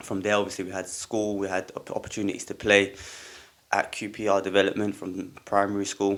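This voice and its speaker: With a London accent, a man talks at a fairly quick pace, his fairly low voice in a monotone, flat intonation. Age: 20s. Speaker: football coach. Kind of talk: podcast interview. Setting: studio.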